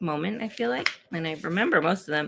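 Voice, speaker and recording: A soft-spoken woman talks at a moderate pace in a fairly low pitch with ordinary pitch variation. Vocal fry runs through her voice. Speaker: author and poet. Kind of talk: casual chat. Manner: quiet, talking softly.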